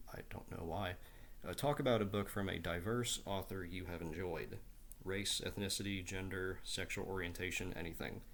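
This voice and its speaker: In an American accent, a man with a very deep, low pitch speaks at a moderate pace with fairly even intonation amid audible room echo. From southeastern Ohio, Appalachia (Portsmouth). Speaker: book YouTuber. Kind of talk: casual book talk video. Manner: hesitant, many fillers and repeats.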